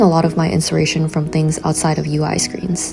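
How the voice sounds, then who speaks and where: A woman talks at a fairly quick pace with an American accent. Background noise is noticeable behind her. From San Francisco. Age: 20s. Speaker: grad student in product design. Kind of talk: vlog voiceover narration.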